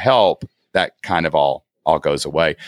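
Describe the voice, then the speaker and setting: Someone speaks with an Appalachian accent in a dry, close sound with no echo. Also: man. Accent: Appalachian Southern US. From southeast Kentucky. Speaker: online entrepreneur, former teacher. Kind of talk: casual interview. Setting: video call from guest bedroom.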